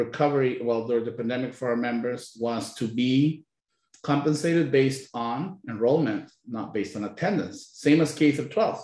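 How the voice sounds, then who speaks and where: A man talks at a fairly quick pace in a Spanish accent. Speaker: labor union leader. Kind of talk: panel discussion.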